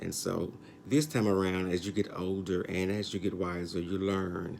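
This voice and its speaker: His pace is on the slow side. The man's voice is very deep and low. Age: 60s. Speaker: YouTube commentator. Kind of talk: casual vlog commentary. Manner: hesitant, many fillers.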